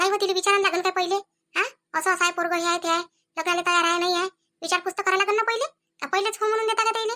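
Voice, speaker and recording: A woman speaks very fast in a squeaky, extremely high put-on character voice, with fairly even intonation and very even loudness. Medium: comedy sketch. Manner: chatty, persuasive.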